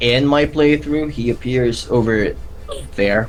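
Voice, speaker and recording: A man with a non-native accent, fairly slow, against noticeable background noise. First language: not English. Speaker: gaming YouTuber. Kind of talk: casual chat. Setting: live stream. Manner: halting.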